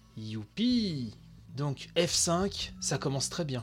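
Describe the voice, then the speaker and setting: A man's very slow speech over background music. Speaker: video game news podcaster. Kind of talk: live commentary. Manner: slurred articulation.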